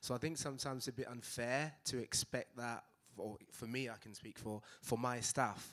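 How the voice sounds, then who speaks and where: A man with a Mancunian accent talks at a fairly quick pace, his medium pitch held in fairly even intonation. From Manchester, England. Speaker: physiotherapy practice owner. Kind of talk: panel discussion.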